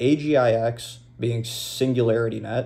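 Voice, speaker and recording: The voice belongs to a man and has a dark, mellow tone. It sits at a medium pitch. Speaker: crypto video host. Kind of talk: unscripted monologue. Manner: casual, off the cuff; stuttering.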